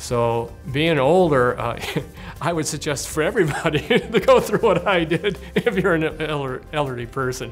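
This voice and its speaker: Music plays in the background. A man speaks with lively intonation at a fairly high pitch. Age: 70s. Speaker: bladder cancer survivor. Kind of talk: interview answer.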